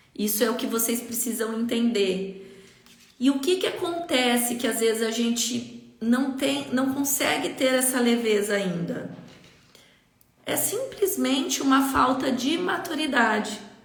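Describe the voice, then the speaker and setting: With audible room echo and noticeable background noise, a woman speaks at a fairly slow pace in a high pitch with lively intonation. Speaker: leadership coach. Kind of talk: live stream talk. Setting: Instagram live.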